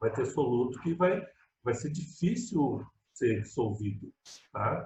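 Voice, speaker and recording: A man's somewhat breathy voice at a very slow pace, with very wide pitch swings. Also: medium pitch for a man. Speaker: high school chemistry teacher. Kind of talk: online lecture. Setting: video call. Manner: casual, conversational.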